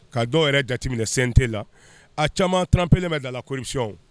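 The man's voice shows ordinary pitch variation in a dry sound with no echo. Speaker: interviewee. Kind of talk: interview answer. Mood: serious political opinion. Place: street. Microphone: handheld.

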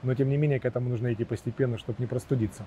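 Intonation stays fairly even throughout. Light background noise sits under a dry sound with no echo. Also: man. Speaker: interviewer. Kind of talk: interview. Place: garden. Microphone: lapel.

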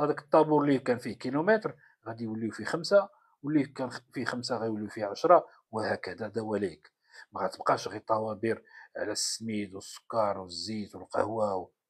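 Against a quiet background, a man with a Moroccan accent speaks at medium pitch and a moderate pace, with ordinary pitch variation and big swings in loudness. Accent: Moroccan Darija. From Morocco. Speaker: political commentator. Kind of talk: political commentary monologue. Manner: halting, many fillers. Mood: sarcastic, mocking. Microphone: phone near.

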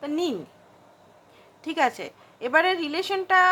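A woman's high-pitched voice. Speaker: tarot card reader. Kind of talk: tarot reading monologue.

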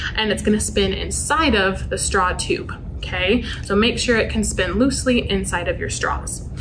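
A woman talks at a moderate pace with hardly any pauses. There is noticeable background noise. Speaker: youth club instructor. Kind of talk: tutorial. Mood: friendly, upbeat. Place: classroom. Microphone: camera far.

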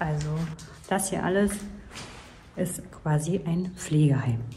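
A woman talks very slowly while light background noise continues. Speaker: urban exploration vlogger. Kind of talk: casual vlog chat. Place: empty room. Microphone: lapel.

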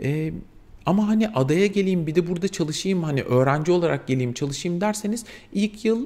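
A man's high-pitched voice with a dark, mellow tone, lively intonation and a moderate pace. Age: 40s. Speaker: vlogger, mature student; vlogger. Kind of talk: casual vlog monologue. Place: home room.

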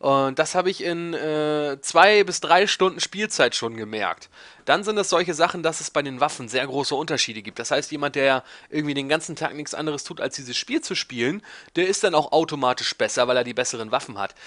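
Against a quiet background, a man with a fairly high pitch and a bright, sharp tone talks at a fairly quick pace with lively intonation, the sound dry and close with no echo. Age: 20s. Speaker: YouTuber answering viewer questions. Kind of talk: casual monologue, Q&A video. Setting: home recording in desk chair. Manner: rambling, talkative.

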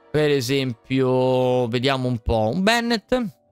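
Faint music plays in the background as a man speaks, the sound dry with no echo. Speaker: game streamer. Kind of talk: gameplay commentary. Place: home room. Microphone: studio mic.

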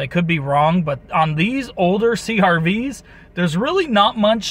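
A man with a high-pitched voice speaks at a fairly slow pace in a dry sound with no echo. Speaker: car owner vlogger. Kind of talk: casual vlog chat. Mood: mildly worried. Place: car. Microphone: phone near.

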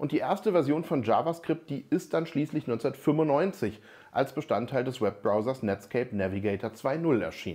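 A man's voice has a dark, mellow tone and lively intonation. The background is quiet. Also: moderate pace. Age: 40s. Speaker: software developer and tech educator; tech educator. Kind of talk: tech explainer video. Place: office. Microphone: lapel.

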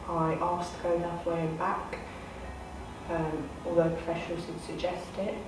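A woman with a fairly low voice is heard in a room with audible echo and noticeable background noise. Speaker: youth commission member. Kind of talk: personal testimony to camera. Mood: serious, composed, personal account. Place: meeting room.

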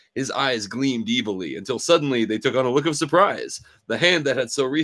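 The voice is a natural reading voice. Nothing else stands out.

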